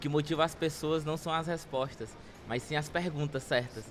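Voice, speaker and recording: A man's fairly even intonation is heard with music in the background. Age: 20s. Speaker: social project founder. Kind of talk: interview.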